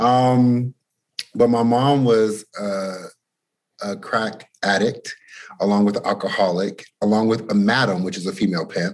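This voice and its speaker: A man with an American accent has an unremarkable speaking voice at a fairly low pitch. He talks at a fairly slow pace with fairly even intonation. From Boston, Massachusetts. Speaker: musician and creative director. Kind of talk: casual interview.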